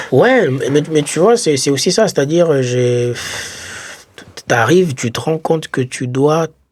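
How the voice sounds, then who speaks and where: A man in a normal speaking voice, fairly high-pitched, with lively intonation at a fairly slow pace. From Congo. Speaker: podcast co-host, former foreign student. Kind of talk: casual chat.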